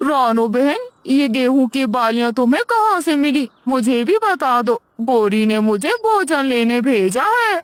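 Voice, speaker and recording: A cartoonish character voice, female-sounding and high-pitched, comes at a fairly slow pace. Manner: grumbling, boastful.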